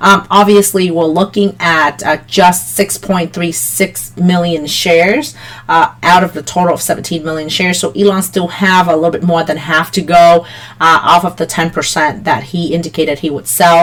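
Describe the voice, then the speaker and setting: A woman with a fairly low pitch swings very widely in pitch, with noticeable background noise behind her. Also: moderate pace. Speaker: stock market youtuber. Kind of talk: market analysis tutorial. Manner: frequent fillers (um, uh).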